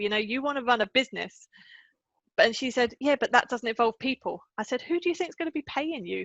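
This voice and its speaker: A high-pitched woman with an English accent, lively intonation and a fairly quick pace. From England. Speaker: confidence coach. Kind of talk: podcast interview.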